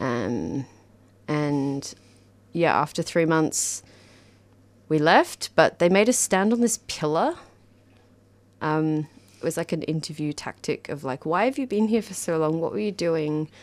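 A woman with an Australian accent talks at a fairly slow pace in a very deep, low pitch, using lively intonation and long, frequent pauses, on a very clean recording with a silent background. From Australia, Canberra. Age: 30s. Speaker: dancer and community radio volunteer. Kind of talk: interview conversation. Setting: radio studio.

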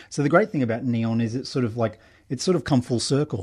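Very fast speech comes from a man with an Australian accent, medium pitch and ordinary pitch variation. His tone is dark and mellow, and the background is quiet. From Brisbane, Australia. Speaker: documentary filmmaker. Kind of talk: interview. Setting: radio studio.

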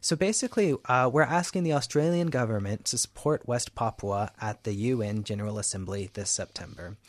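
In a dry, close sound against a quiet background, a man with an American accent and an unremarkable speaking voice talks at medium pitch and a fairly quick pace, with lively intonation and hardly any pauses. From US, Houston, Texas. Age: 20s. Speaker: activist. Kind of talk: interview. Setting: radio studio.

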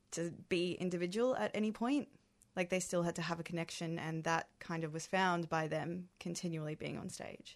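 Set against a quiet background, a woman with an unremarkable speaking voice talks at a moderate pace and a fairly low pitch. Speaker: actor. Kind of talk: radio interview.

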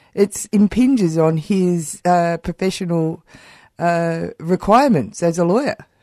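An Australian accent comes from a woman speaking at a moderate pace with fairly low pitch and ordinary pitch variation. Her tone is dark and mellow, and the sound is dry and close with no echo. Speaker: radio host. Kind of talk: radio presenting and interviewing. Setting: studio.

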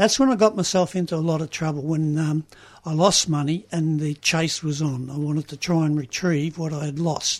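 A man with an Australian accent, fairly high in pitch, at a moderate pace with fairly even intonation. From Australia, Melbourne (Richmond). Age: 70s. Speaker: recovering gambler, GA member. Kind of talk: testimony. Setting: radio studio.

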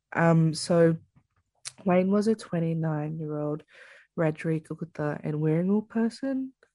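Long, frequent pauses break up a woman's moderate pace as she speaks with an Australian accent in a fairly low pitch, with a dark, mellow tone and ordinary pitch variation. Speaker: First Nations justice campaigner. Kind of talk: interview.

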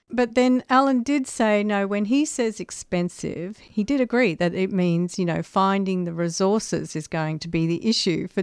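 At a moderate pace with hardly any pauses, a woman uses a plain, everyday voice at medium pitch with lively intonation against a quiet background. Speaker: radio co-host. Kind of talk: casual chat. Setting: studio.

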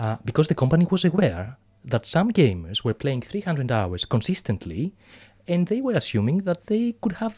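A man with a Greek accent speaks at a high pitch with very wide swings in pitch, on a very clean recording with a silent background. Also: dry, close sound with no echo. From Greece. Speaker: clinical psychologist. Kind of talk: interview. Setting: studio.

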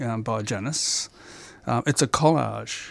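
A man with an Australian accent talks at a fairly slow pace, his pitch medium with ordinary variation. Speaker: amateur painter. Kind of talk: interview. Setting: studio. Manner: halting.

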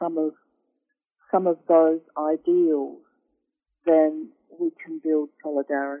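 A woman with an Australian accent at a very slow pace. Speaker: law professor. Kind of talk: interview. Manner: halting, many fillers and repeats.

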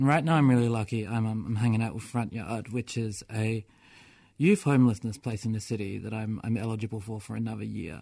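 Against a quiet background, a man with an Australian accent talks at a fairly quick pace, his medium-pitched voice dark and mellow with ordinary pitch variation. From Melbourne, Australia. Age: 20s. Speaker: person with experience of homelessness, poet. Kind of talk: radio interview; poetry reading. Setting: radio studio.

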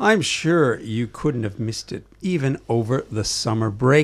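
On a very clean recording with a silent background, a man with a Canadian accent and a normal speaking voice talks at a fairly slow pace, his medium pitch moving in lively intonation. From Canada, Toronto. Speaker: community radio host. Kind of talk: radio talk show. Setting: studio.

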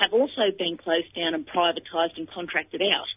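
With an Australian accent, a woman talks at a moderate pace with lively intonation. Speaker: rural policy advocate. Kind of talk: radio interview.

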